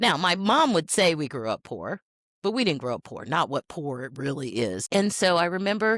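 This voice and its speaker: A woman with an American accent speaks at a moderate pace, with a fairly low pitch, vocal fry and very wide pitch swings. The sound is dry and close, with no echo. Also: very clean recording, silent background. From Tennessee, US South. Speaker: healthcare executive. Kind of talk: casual interview chat.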